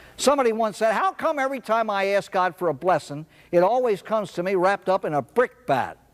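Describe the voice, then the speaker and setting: A man at a very fast pace and high pitch, dry and close with no echo, over noticeable background noise. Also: lively intonation. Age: 60s. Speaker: speaker on alcoholism recovery. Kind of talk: talk to an audience.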